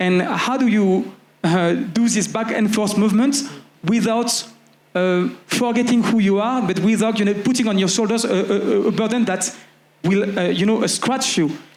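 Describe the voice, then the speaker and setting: In a French accent, a man speaks at a moderate pace in a high voice, with fairly even intonation and very even loudness, over noticeable background noise and audible room echo. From France (Paris, working-class diaspora). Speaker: community organizer. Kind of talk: panel discussion. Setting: festival stage with audience. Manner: hesitant, many fillers.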